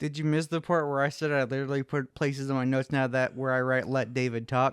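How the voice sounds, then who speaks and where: A man's medium-pitched voice, monotone and flat, at a very fast pace and very even loudness, with a dry, close sound, no echo and a quiet background. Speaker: podcast host. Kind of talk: casual chat.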